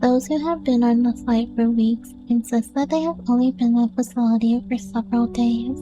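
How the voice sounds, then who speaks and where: With music in the background, a soft-spoken woman with a fairly high pitch talks at a moderate pace with hardly any pauses, very even loudness and ordinary pitch variation. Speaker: narrator. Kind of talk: reading aloud.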